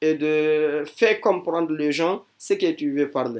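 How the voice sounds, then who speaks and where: At a very slow pace, a man talks with a fairly high pitch and fairly even intonation over a very clean recording with a silent background. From Guinea. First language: not French; never schooled in French (speaking French). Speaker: religious teacher. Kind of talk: testimony. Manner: halting, hesitant with fillers.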